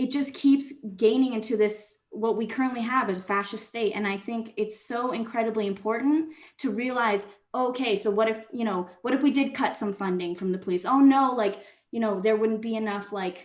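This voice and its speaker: In a room with audible echo, a woman speaks at a fairly high pitch. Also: ordinary pitch variation, moderate pace. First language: not English. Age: 20s. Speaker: public commenter, social work student. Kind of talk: public comment at city council meeting. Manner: halting, self-correcting.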